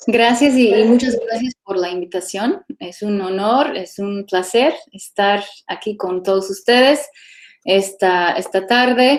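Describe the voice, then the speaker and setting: A woman's medium-pitched voice with an English accent, ordinary pitch variation and a very slow pace. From California, US. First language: English (speaking Spanish). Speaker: archaeologist. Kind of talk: lecture.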